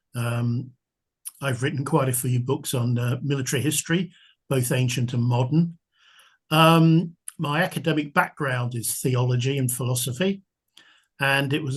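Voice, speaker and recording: A man with a southern English accent speaks fairly slowly at medium pitch, somewhat breathy, with fairly even intonation. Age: 70s. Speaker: military history author. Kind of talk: podcast interview.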